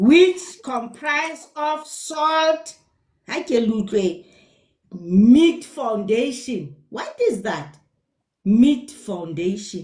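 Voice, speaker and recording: A woman with a Lesotho accent speaks very slowly in a high pitch, leaving long, frequent pauses. Her pitch swings very widely and her loudness shifts a great deal. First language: Sesotho. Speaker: nutrition educator. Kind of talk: live stream talk. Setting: live stream.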